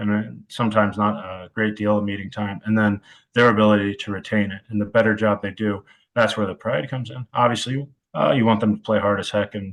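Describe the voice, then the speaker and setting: Very fast and flat, a man with an American accent talks in a fairly low, monotone voice. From US Midwest, Cleveland, Ohio area. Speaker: college football wide receivers coach. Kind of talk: podcast interview. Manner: dry, deadpan delivery.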